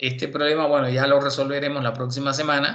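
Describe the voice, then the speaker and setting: A man talks in a bright, sharp tone at a medium pitch, his intonation monotone and flat. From Cuba. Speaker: university lecturer. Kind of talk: lecture.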